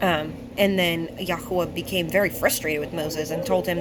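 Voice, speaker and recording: A woman speaks at a fairly low pitch. The room echo is audible, and background noise is noticeable. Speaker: bible teacher. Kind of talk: bible study talk. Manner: slow; halting.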